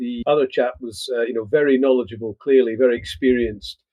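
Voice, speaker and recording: A man talks at a moderate pace in a Scottish accent. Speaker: agritech company CEO. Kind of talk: podcast interview.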